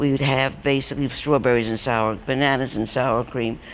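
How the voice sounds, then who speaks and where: A woman with a New York accent speaks at a moderate pace in a very deep, low pitch. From New York, Brooklyn. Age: 80s+. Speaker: elderly storyteller. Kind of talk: personal reminiscence talk. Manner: halting.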